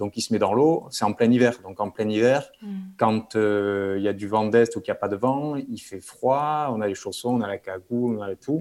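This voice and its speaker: This man has a normal speaking voice, medium in pitch, with ordinary pitch variation and a moderate pace. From French Basque Country (Bayonne). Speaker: dentist and big-wave surfer. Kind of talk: interview.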